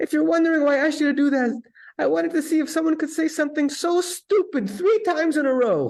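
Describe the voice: This put-on character voice is high and squeaky, with an Eastern European accent. It races along at a very fast pace.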